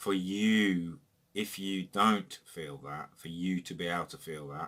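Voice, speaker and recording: Fairly low in pitch yet bright and sharp in tone, a man speaks at a fairly slow pace. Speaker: YouTuber. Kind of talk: personal monologue. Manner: reflective.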